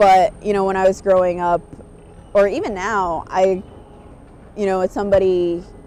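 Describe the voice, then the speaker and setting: Music plays in the background as a woman with a New York accent speaks in a medium pitch. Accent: New York American. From New York State (Kingston). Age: 30s. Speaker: Korean adoptee interviewee. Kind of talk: documentary interview.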